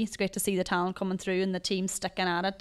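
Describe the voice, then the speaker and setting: Against a quiet background, a woman speaks with an Ulster accent in a monotone, flat intonation. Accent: Ulster Irish. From Ireland, Donegal; Ireland. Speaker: Gaelic football player and teacher; teacher. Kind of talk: casual interview. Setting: hotel. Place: studio. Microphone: handheld.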